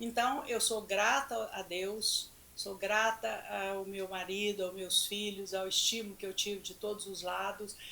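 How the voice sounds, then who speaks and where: A woman talks at a medium pitch with fairly even intonation. Noticeable background noise can be heard. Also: fairly slow pace. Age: 70s. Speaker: nutritionist. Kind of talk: casual chat. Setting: studio.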